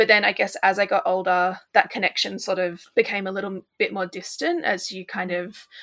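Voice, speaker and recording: A woman at medium pitch moves along at a fairly quick pace. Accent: Australian. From Australia. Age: 20s. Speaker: dietitian. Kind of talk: casual chat.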